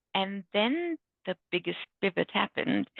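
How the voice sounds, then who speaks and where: A woman with a Bengali accent talks at a fairly slow pace. Her pitch is medium. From India. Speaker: book author, IT manager. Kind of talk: panel talk, personal story.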